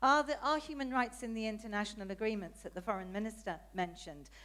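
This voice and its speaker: Speaking with a British accent, a woman talks at a fairly quick pace. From Britain. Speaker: audience member asking questions, politician. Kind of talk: audience question at conference. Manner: hesitant, many fillers.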